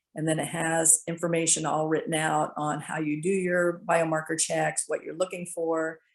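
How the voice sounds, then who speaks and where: Over a quiet background, a woman speaks with monotone, flat intonation. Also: fairly low pitch for a woman. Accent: American. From US East Coast. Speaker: fertility awareness instructor. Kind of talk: presentation. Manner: fast; chatty.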